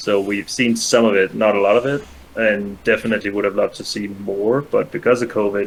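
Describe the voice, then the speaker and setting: A man with a Danish accent speaks at a fairly quick pace with hardly any pauses, his fairly low voice keeping a fairly even intonation. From Denmark, Copenhagen. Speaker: guest, former speedrun streamer. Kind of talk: casual chat.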